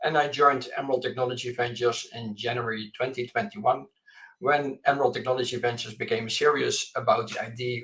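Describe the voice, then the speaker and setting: A man talks at a very fast pace. He has a Dutch accent. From Netherlands. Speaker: venture capital investor. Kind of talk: panel discussion. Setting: remote call from home office.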